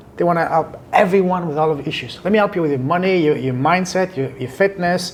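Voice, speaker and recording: Talking very fast in a French accent, a man with a high pitch uses ordinary pitch variation over noticeable background noise. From southern France. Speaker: podcast and business coach. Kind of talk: interview conversation.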